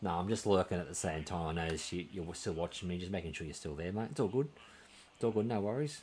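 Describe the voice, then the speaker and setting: A man's very deep, low voice in an Australian accent, very fast, with lively intonation and light background noise. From Australia, New South Wales. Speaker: video game streamer. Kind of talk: live gameplay stream chat. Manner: casual, hesitant with many fillers. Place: home room.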